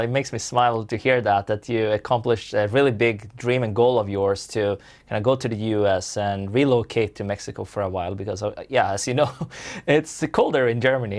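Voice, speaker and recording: A man talks at a fairly quick pace in a plain, everyday voice. His intonation stays fairly even. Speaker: online course creator. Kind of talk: interview questions.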